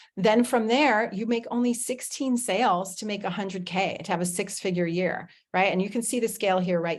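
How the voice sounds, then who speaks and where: Against a quiet background, a woman talks in an animated tone. Her pitch is medium, with ordinary pitch variation. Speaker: affiliate marketing presenter. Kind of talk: webinar sales presentation. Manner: fast.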